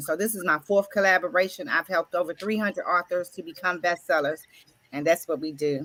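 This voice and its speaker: Bright and sharp in tone, a woman of medium pitch speaks in an animated way. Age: 60s. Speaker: author and grief coach. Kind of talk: round table self-introduction.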